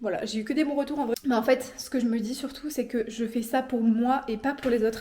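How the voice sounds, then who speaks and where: A woman with a high pitch talks at a fairly quick pace and fairly even intonation against noticeable background noise. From France. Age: 20s. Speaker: vlogger, law student. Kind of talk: casual chat. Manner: casual, many fillers.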